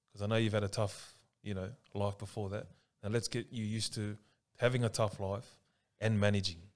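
The pace is fairly quick with long, frequent pauses, the intonation monotone and flat, and the recording very clean with a silent background. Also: man, fairly low pitch for a man. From Sydney, Australia. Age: 30s. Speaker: social worker. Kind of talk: casual podcast interview.

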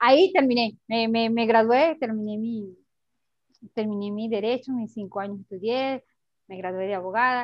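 The woman has an ordinary speaking voice, fairly high in pitch with ordinary pitch variation, and her loudness swings widely. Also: moderate pace. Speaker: human rights activist and lawyer. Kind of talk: testimony.

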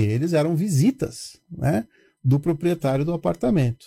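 A dark, mellow tone unfolds at a fairly slow pace in a very clean recording with a silent background. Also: man. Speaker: building manager. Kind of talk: casual chat.

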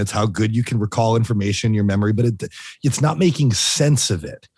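A man's somewhat breathy voice at a medium pitch, ordinary pitch variation and a fairly quick pace. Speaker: podcast host.

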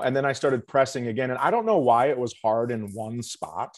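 With an unremarkable speaking voice, a man talks at a fairly quick pace and medium pitch. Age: 40s. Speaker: comedian. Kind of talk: casual chat. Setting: video call from home.

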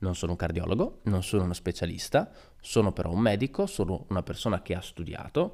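Recorded very clean against a silent background, a man speaks at a fairly quick pace in a fairly low pitch. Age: 20s. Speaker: podcaster and young doctor. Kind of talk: solo podcast monologue. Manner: casual, with frequent hesitations.

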